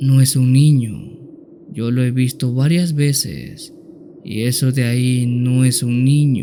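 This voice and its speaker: A man uses a put-on character voice at medium pitch, shaky and at a fairly slow pace. Background noise is clearly audible. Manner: fearful, trembling.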